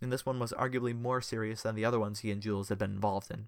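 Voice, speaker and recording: A man talks at a very fast pace. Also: very clean recording, silent background. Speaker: fanfiction reader and podcast host. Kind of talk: audiobook reading of fanfiction. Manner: measured narrator, even pacing, storytelling tone.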